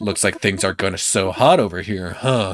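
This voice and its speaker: A man puts on a character voice at a fairly low pitch. He speaks at a moderate pace. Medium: game stream. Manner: curt, seething.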